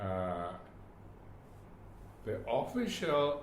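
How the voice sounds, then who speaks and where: A man speaks with a Burmese accent. There is audible room echo. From Myanmar. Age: 80s+. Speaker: retired government official. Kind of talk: oral history interview. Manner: halting, with many repetitions.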